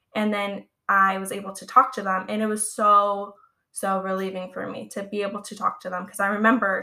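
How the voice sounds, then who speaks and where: Speaking with a Californian accent, a woman has a medium pitch and a bright, sharp tone at a moderate pace. The recording is very clean, with a silent background. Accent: American (California). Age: 20s. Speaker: podcast host, phobia community page runner. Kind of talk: casual solo podcast talk.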